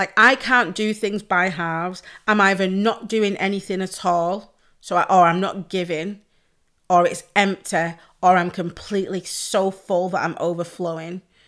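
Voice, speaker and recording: At a fairly slow pace, a woman speaks in a Mancunian accent. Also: medium pitch for a woman. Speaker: podcast host and pole dance instructor. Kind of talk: casual solo chat. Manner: loud; animated.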